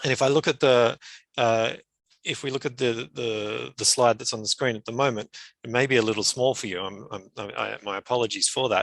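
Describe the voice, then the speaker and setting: The recording has a dry, close sound with no echo as a man with an Australian accent talks at a fairly quick pace, medium pitch and fairly even intonation. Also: quiet background. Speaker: climate adaptation expert, conference presenter. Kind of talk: conference presentation. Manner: frequent fillers and repetitions.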